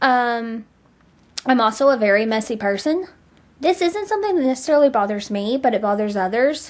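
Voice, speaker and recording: A woman speaks loudly in a high pitch, with lively intonation at a fairly quick pace. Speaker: vlogger. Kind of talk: casual vlog monologue. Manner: talkative.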